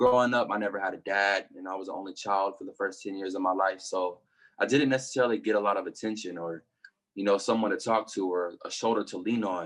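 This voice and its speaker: This man talks very fast in a Southern US accent. His pitch is fairly low and his intonation fairly even. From US South, Arkansas (southwest Little Rock). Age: 20s. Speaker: hip-hop artist. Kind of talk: casual chat.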